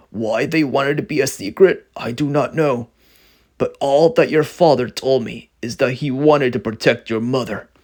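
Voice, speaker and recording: Using a raspy put-on character voice, a man talks at a moderate pace and a medium pitch. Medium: read story. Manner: warm, grandfatherly.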